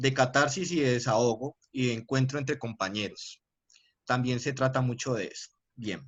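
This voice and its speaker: Fairly even in intonation, a man speaks with a Cali accent. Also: medium pitch for a man, moderate pace. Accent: Colombian Spanish, Cali (caleño). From Colombia, Cali. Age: 20s. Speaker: university lecturer. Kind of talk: lecture. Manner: hesitant, with filler sounds and repetitions.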